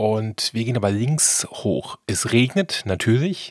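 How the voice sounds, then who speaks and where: The recording is very clean, with a silent background. A man speaks with very wide pitch swings. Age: 40s. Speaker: travel podcast host. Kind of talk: travel narration and interview. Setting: outdoors hiking in the mountains.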